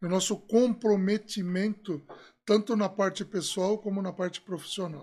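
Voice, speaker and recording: A moderately paced man's voice, very clean recording, background silent. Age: 60s. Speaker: refrigeration consultant. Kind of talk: podcast interview, storytelling. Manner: conversational, many fillers.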